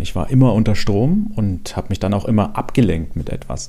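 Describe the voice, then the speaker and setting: Speaking in an unremarkable speaking voice, a man talks at a fairly quick pace with a fairly low pitch and lively intonation. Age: 40s. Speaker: podcast host sharing personal depression story. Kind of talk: personal testimony monologue.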